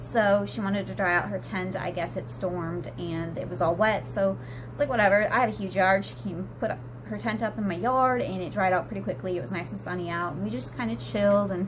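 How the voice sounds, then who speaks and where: A woman's fairly quick speech carries audible room echo, with noticeable background noise in the mix. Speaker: vlogger, stay-at-home mom. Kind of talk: casual vlog chat. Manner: trying to speak quicker.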